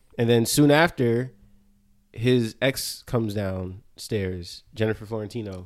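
In an unremarkable speaking voice with an American accent, the speaker talks at a fairly slow pace with ordinary pitch variation on a very clean recording with a silent background. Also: man, medium pitch for a man. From New Jersey. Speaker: dancer and choreographer. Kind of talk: casual chat.

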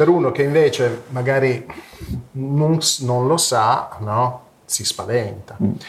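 Over noticeable background noise, a man talks at a very slow pace in a medium-pitched voice with ordinary pitch variation. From Italy, Turin. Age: 50s. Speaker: psychedelic research network co-founder. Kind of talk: interview. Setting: live stream. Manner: halting, many repetitions.

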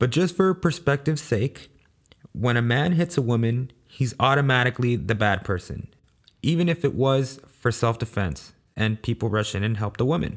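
Recorded very cleanly with a silent background, a man of medium pitch uses an ordinary speaking voice, lively intonation, very even loudness and a moderate pace. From Los Angeles, US (South Central), Salvadoran family. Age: 20s. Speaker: podcast host. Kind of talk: solo monologue podcast.

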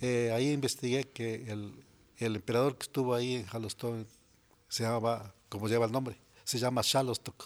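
This man's voice sits at a medium pitch. His delivery stays flat and monotone. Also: moderate pace. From Mexico, Morelos (Xalostoc). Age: 60s. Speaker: farmer. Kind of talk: interview. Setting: studio.

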